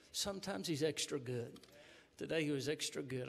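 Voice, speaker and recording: The voice belongs to a man. He talks at a fairly quick pace. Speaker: pastor leading service. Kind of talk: church welcome and spoken prayer. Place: church. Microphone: podium.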